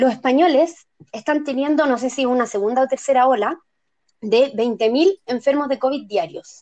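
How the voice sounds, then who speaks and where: A woman speaks with a Chilean accent at a moderate pace. Her voice is high in pitch, with a dark, mellow tone. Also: ordinary pitch variation. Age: 30s. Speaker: podcast panelist. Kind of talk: casual chat.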